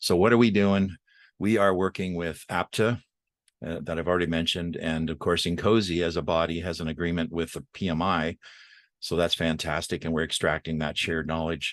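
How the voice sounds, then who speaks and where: Over a quiet background, a man with a very deep, low pitch talks at a fairly quick pace with fairly even intonation. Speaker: systems engineer. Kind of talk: webinar presentation. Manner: fast; halting.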